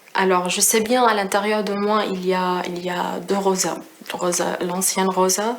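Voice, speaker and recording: Monotone, flat intonation from a woman at medium pitch and a fairly slow pace, with noticeable background noise and audible room echo. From Syria. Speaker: refugee, risk prevention engineer. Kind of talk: testimony. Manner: halting, many hesitations.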